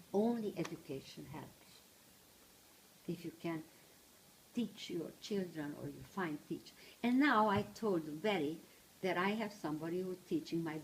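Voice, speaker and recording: At a fairly slow pace with long, frequent pauses, a woman speaks in a somewhat breathy voice with ordinary pitch variation. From Transylvania, Romania. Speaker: Holocaust survivor speaker, retired teacher. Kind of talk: personal testimony talk to small audience. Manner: halting.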